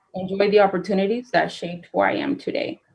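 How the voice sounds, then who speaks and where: A woman's medium-pitched voice at a fairly quick pace, with fairly even intonation. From Madera, California (Central Valley). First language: Spanish. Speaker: city council applicant, former journalist. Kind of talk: prepared statement at council meeting. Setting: city council meeting. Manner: formal.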